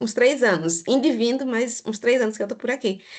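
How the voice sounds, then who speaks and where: Her pitch is fairly high for a woman. This woman speaks at a moderate pace. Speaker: audience participant. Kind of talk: casual comment in Q&A.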